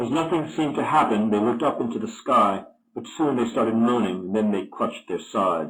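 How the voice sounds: The speaker's intonation is lively, and the reading voice sounds natural.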